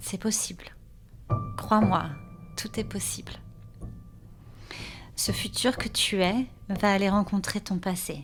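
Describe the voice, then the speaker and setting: A woman speaks at a very slow pace in a calm, soothing tone. Her pitch varies in an ordinary way, with music playing in the background. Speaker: author and meditation guide. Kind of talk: guided meditation, spoken-word (slam). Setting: studio with music. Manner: calm, soothing, slow.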